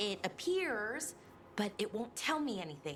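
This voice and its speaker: A female-sounding, put-on character voice at medium pitch makes very wide pitch swings at a moderate pace. Background noise is clear. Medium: video game. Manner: wry, mildly exasperated.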